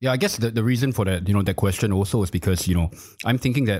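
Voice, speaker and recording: A man talks on a very clean recording, the background completely silent. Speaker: crypto media executive. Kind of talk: casual chat.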